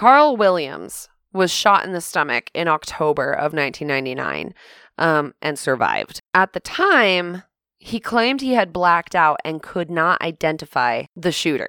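This woman's fairly low voice has a bright, sharp tone and lively intonation, captured with a dry, close sound and no echo. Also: moderate pace. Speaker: podcast co-host. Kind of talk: casual true-crime chat. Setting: home recording late at night.

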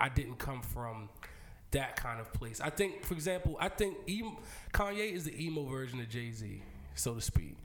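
Spoken at a moderate pace with lively intonation, the voice comes through over noticeable background noise. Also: man. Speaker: podcast host. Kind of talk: casual chat.

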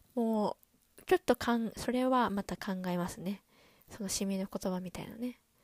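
A woman speaks with an animated tone at a medium pitch. The recording is very clean and dry, close with no echo and a silent background. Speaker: podcast host. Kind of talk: solo casual chat. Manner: fast; animated, laughing often.

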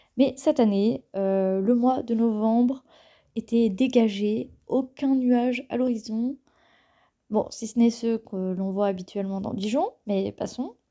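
A woman's dark, mellow tone at a fairly high pitch, delivered at a very slow pace. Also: ordinary pitch variation. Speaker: podcaster and engineering student. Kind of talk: solo podcast monologue. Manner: hesitant with frequent fillers.

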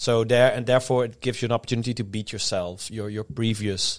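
Fairly even intonation in a Dutch accent, on a very clean recording with a silent background. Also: man. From Netherlands. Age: 30s. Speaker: strongman athlete and coach. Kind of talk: casual chat.

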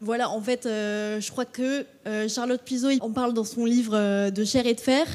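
A woman speaks fairly slowly in a fairly high pitch. Her intonation is monotone and flat. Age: 20s. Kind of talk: live panel talk. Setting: stage with audience. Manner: hesitant, many fillers.

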